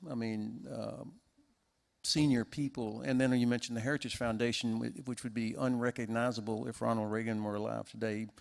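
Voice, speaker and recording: Here is a man with an unremarkable speaking voice at medium pitch. His intonation is fairly even and his pace moderate. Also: very clean recording, silent background. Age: 60s. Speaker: panelist, US policy expert. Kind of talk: panel discussion.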